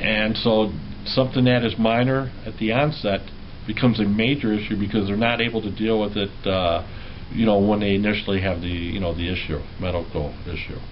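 Over light background noise, a man with a normal speaking voice talks at a fairly low pitch with ordinary pitch variation. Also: fairly quick pace. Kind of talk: interview answer. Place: office. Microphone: camera far.

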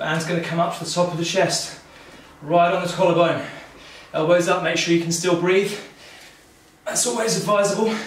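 A man speaks at a high pitch with fairly even intonation, and the room echo is audible. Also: fairly quick pace. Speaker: fitness instructor. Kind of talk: workout instruction. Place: home room.

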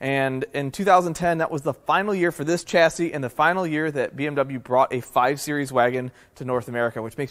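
A man's moderately paced voice with ordinary pitch variation and a quiet background. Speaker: car enthusiast channel host. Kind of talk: casual vlog chat. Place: garage.

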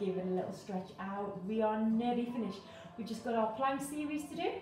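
The clip has audible room echo, with faint music playing in the background. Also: woman. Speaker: fitness instructor. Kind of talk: workout instruction. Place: home room. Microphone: camera far.

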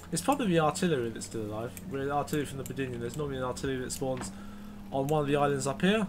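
Noticeable background noise accompanies this recording. A man speaks at medium pitch. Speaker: gaming YouTuber. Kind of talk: casual gameplay commentary and review. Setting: recorded gameplay voiceover. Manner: casual, sarcastic.

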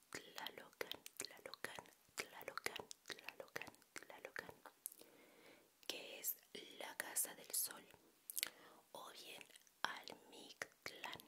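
Whispering amid noticeable background noise, a woman leaves long, frequent pauses, her loudness swinging widely. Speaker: educational vlogger. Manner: slow whispered repeated trigger words. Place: home room. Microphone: handheld.

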